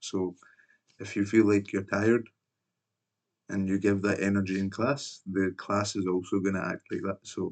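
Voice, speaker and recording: This man speaks with a Scottish accent and a fairly low pitch. His pace is fairly slow against a quiet background. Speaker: former English teacher. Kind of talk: personal video reflection. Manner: casual, filler-heavy.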